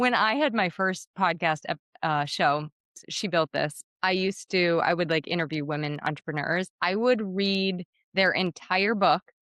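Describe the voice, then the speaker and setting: In a dry, close recording with no echo, a woman speaks at a fairly low pitch with ordinary pitch variation. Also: quiet background. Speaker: podcast host. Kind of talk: interview conversation. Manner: fast.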